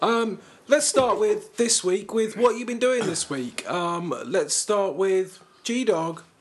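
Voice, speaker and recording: A man with a British accent, high-pitched, very slow and with lively intonation. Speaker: podcast host. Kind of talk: casual chat.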